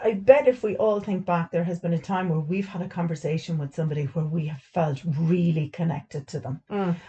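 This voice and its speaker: A woman with an Irish accent, fairly low in pitch and somewhat breathy, dark and mellow in tone, fairly quick with hardly any pauses and ordinary pitch variation. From Ireland. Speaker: stay at home mum, full time carer and podcast host. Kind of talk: casual chat. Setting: utility room recording.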